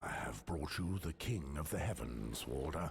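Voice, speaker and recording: Using a put-on character voice, a man speaks in a solemn tone with a very deep, low pitch, lively intonation and a moderate pace. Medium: video game. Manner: solemn, measured.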